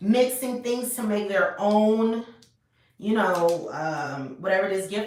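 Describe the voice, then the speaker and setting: Recorded with audible room echo, a woman at a medium pitch shows ordinary pitch variation and big swings in loudness. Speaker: tarot reader. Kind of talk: tarot reading to camera. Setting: home video recording.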